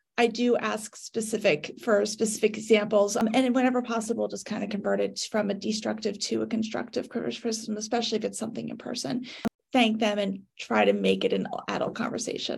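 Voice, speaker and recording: A woman with an ordinary speaking voice talks at a fairly quick pace, her fairly high pitch held in fairly even intonation. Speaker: social media business owner. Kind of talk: casual discussion.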